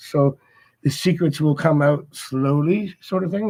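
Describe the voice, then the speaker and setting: A man with a normal speaking voice, fairly even intonation and a moderate pace. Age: 60s. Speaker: tarot reader. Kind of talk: live stream Q&A reading. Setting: at home, livestream. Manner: casual, conversational. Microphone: laptop at home, lower quality.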